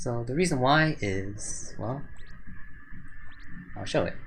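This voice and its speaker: A man with a fairly high pitch makes very wide pitch swings and big swings in loudness, with long, frequent pauses. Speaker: gaming video reviewer. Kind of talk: game skill review commentary. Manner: hesitant, some stuttering.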